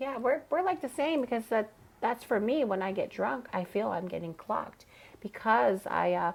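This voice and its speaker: Vocal fry runs through this woman's fairly high voice as she speaks at a moderate pace with very wide pitch swings, in a very clean recording with a silent background. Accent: American. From Chicago. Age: 30s. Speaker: drag queen. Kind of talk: casual chat.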